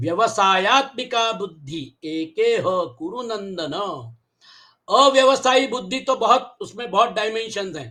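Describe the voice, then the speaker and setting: A man speaks in a raised, projected voice with a high pitch and a bright, sharp tone. His intonation is lively, and his loudness swings widely. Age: 70s. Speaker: Gita teacher. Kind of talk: lecture.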